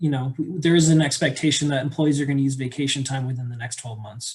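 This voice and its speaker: A man speaks in a somewhat breathy voice. His intonation stays monotone and flat. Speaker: auditor presenting financial statements. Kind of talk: board meeting presentation. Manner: fast.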